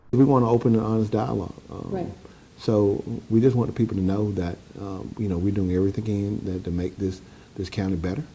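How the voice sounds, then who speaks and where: The pitch of this man's voice is fairly low. He talks very fast. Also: ordinary pitch variation. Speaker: county sheriff. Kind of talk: interview answer.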